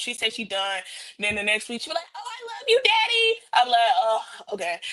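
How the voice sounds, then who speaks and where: Noticeable background noise sits under a woman speaking at a very fast pace. Her pitch is fairly high, with ordinary variation. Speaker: podcast panelist. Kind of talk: casual chat.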